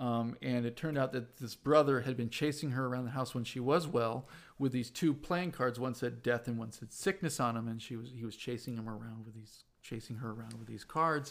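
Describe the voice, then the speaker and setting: A man with a medium pitch talks at a fairly quick pace with hardly any pauses, ordinary pitch variation and big swings in loudness. The recording is very clean, with a silent background. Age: 30s. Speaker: podcast guest sharing paranormal experiences. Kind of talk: casual interview. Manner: halting, many fillers.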